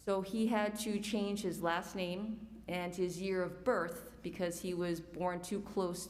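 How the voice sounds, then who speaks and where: A woman with an American accent speaks at a very slow pace and a fairly low pitch, her intonation fairly even, with audible room echo. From New York City. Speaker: community forum speaker. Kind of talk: personal testimony.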